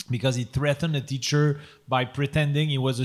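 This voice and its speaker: On a very clean recording with a silent background, a man speaks with a Quebec accent at a moderate pace. His fairly high voice is somewhat breathy, with fairly even intonation. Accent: Québécois French accent in English. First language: French. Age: 40s. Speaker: podcast host. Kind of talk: live comedy podcast with improv. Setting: stage with audience. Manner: halting.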